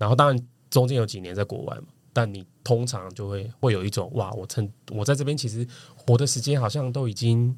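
A man of medium pitch speaks at a fairly quick pace, somewhat breathy, with ordinary pitch variation and big swings in loudness. The recording is very clean, with a silent background. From Taiwan, Kaohsiung. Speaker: marketing professional. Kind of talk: casual chat.

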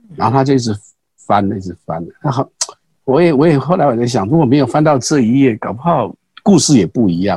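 With a Taiwanese accent, a man speaks at a fairly quick pace and medium pitch, his tone dark, mellow and somewhat breathy. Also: lively intonation. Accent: Taiwanese Mandarin. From Taiwan, Pingxi (New Taipei). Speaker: street performer and grass-weaving craft artist, retired executive. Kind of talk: casual interview. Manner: halting with many fillers and repetitions.

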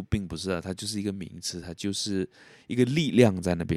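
A man talks at a fairly quick pace in a dry, close recording with no echo, very clean and set against a silent background. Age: 20s. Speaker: podcast host. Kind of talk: solo podcast monologue. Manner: soft-spoken; casual.

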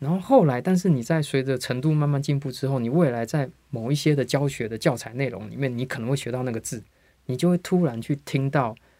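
A man talks at a fairly quick pace with ordinary pitch variation. His voice is fairly high, with a dark, mellow tone. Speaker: English teacher, formerly in tech industry. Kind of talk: interview.

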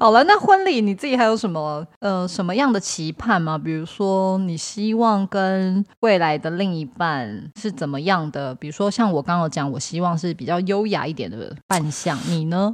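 This woman has a normal speaking voice at a medium pitch. Her intonation is lively. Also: moderate pace. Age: 30s. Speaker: podcast co-host. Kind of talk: casual chat.

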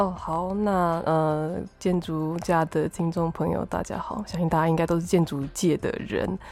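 Pitched fairly low, a woman talks at a fairly slow pace with hardly any pauses and fairly even intonation. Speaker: podcast host and architect. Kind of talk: casual interview chat. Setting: remote recording.

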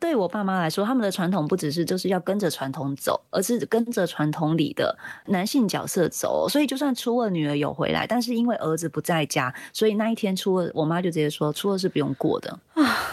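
With very wide pitch swings and hardly any pauses, the speaker moves at a fairly quick pace in a very clean recording with a silent background. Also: woman, medium pitch for a woman. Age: 40s. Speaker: former NGO chair, birth reform advocate. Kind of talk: casual chat.

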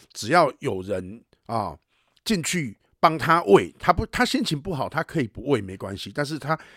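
On a very clean, dry and close recording with a silent background and no echo, a man speaks at a moderate pace with a fairly high pitch. His bright, sharp tone shows vocal fry and very wide pitch swings. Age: 40s. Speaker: podcast host and animal rescue advocate. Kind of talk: casual chat. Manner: animated, heated.

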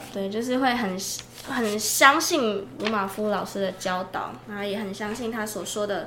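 There is audible room echo around a woman's medium-pitched voice. She speaks at a moderate pace with lively intonation. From Taiwan, Changhua. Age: 20s. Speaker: podcast co-host, mission agency staff. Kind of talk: casual chat.

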